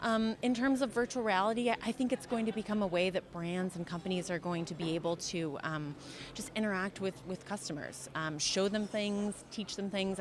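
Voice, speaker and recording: Speaking with an American accent in a normal speaking voice, the voice moves at a moderate pace with ordinary pitch variation. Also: woman. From USA. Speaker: customer experience consultant. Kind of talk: interview answer.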